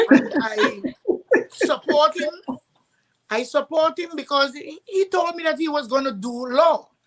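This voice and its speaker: High, lively woman's voice in a Trinidadian accent, fairly slow, with long, frequent pauses. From Trinidad and Tobago. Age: 60s. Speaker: parent sharing advice. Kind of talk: online summit panel talk.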